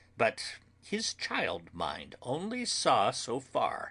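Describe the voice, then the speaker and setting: A man puts on a character voice. The background is quiet. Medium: read story. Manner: earnest, formal, broken grammar.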